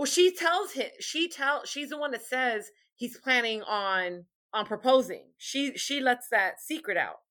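In a very clean recording with a silent background, a woman with a high pitch speaks at a fairly slow pace in a raised, projected voice with a bright, sharp tone and lively intonation. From New York. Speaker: podcast panelist. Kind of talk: casual chat.

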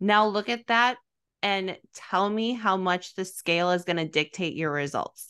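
With an American accent, a woman speaks fairly slowly at a medium pitch in a bright, sharp tone, with ordinary pitch variation and a quiet background. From US Midwest. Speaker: fitness podcast host. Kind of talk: casual chat. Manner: soft-spoken.

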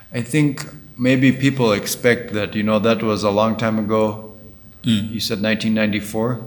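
Noticeable background noise sits behind a man's fairly low voice. His intonation is fairly even. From Uganda. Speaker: podcast host. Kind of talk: interview. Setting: in Kigali, Rwanda.

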